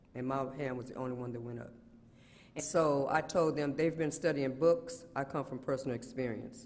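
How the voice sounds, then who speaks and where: An ordinary speaking voice at a moderate pace, with ordinary pitch variation and big swings in loudness. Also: man, fairly high pitch for a man. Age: 60s. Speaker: community partner and mental health advocate. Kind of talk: testimony.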